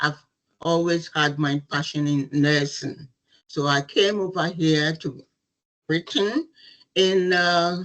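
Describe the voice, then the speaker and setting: At a very slow pace, a woman with a fairly low pitch and fairly even intonation leaves long, frequent pauses. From Ghana. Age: 70s. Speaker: retired nurse and midwife, charity founder. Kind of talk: interview.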